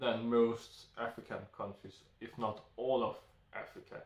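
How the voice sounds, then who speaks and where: A somewhat breathy man with a Danish accent. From Denmark. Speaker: YouTuber. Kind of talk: solo monologue. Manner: halting.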